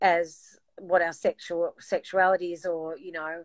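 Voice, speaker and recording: At a fairly slow pace, a woman with an Australian accent and medium pitch speaks in a dry, close sound with no echo on a very clean recording with a silent background. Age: 60s. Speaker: singer. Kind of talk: casual chat.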